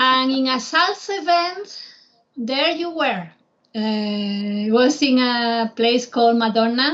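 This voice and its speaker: In a Spanish accent, a woman speaks at a very slow pace. Her high-pitched voice has lively intonation. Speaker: travel guide. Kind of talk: casual chat.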